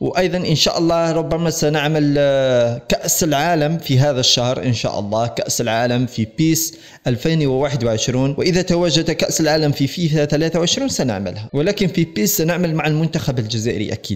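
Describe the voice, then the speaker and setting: A man's fairly high voice at a moderate pace with hardly any pauses, ordinary pitch variation and very even loudness, over a quiet background. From Algeria. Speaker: gaming YouTuber. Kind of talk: casual video vlog address to viewers. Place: home room.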